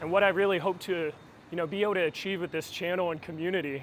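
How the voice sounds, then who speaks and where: A man's high pitch with ordinary pitch variation. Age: 20s. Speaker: vlogger. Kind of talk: casual vlog talk. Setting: outdoors, walking in city. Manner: casual, filler-heavy.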